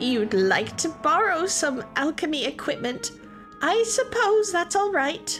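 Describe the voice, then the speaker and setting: A female-sounding, put-on character voice, high in pitch and fairly slow, with clear music in the background. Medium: read story.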